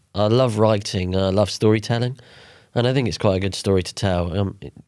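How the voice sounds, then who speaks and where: Fairly quick delivery in a normal speaking voice, very cleanly recorded over a silent background. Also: man. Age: 30s. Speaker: cancer survivor and author. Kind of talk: casual interview.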